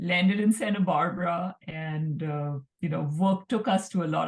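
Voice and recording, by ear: A woman speaks at a low pitch with ordinary pitch variation. Her slightly mellow tone carries vocal fry and a slightly husky edge.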